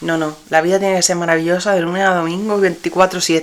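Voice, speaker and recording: Over noticeable background noise, a woman speaks at a fairly quick pace with a fairly low pitch and monotone, flat intonation. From Spain, Granada and Murcia. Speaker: podcast host and dress designer. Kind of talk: personal storytelling podcast. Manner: casual, with fillers and repetitions.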